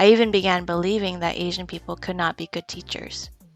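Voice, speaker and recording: Over music in the background, a woman with an American accent talks very fast at a medium pitch with fairly even intonation. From Philadelphia, US. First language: Taiwanese. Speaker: history teacher. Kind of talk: scripted presentation.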